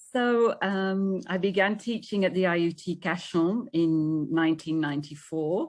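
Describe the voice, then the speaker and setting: Over a quiet background, a woman with a British accent talks at a fairly slow pace. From UK. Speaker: English teacher. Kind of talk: presentation.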